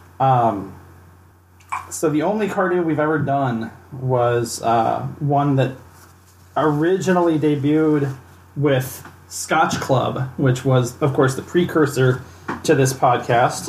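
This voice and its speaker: Noticeable background noise runs under a man speaking at a very slow pace with long, frequent pauses. His pitch variation is ordinary. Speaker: podcast host. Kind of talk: casual tasting chat. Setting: studio podcast recording.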